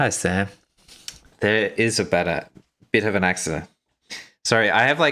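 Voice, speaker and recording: In an Australian accent, a man speaks with a bright, sharp tone and ordinary pitch variation on a very clean recording with a silent background. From Australia, Brisbane. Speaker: miniature painting youtuber. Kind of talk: casual livestream chat while painting. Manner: casual, filler-heavy.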